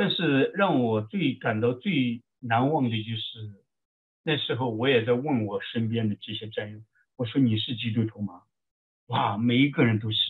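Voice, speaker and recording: A man talks at a medium pitch and a fairly slow pace, with ordinary pitch variation. He has an ordinary speaking voice, with big swings in loudness. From China, Shaanxi. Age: 40s. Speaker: army veteran and military chaplain. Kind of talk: interview testimony.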